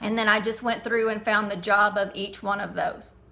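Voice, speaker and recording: Noticeable background noise surrounds a woman as she talks, and room echo can be heard. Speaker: teacher. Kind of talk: tutorial.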